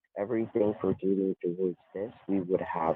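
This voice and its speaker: Soft-spoken, a man talks with a very deep, low pitch and monotone, flat intonation. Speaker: scam caller posing as prize official. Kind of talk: scam phone call pitch. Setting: phone call. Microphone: connection cutting in and out.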